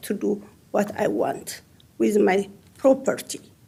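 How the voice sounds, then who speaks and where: A woman's somewhat breathy voice, dark and mellow in tone, with a strong non-native accent. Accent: heavy foreign accent in English. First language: not English. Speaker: property owner testifying. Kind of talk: public testimony.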